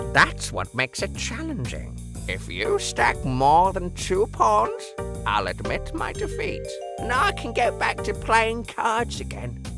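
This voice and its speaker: Loud music plays in the background as a man speaks in a put-on character voice at a fairly slow pace. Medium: voice reel.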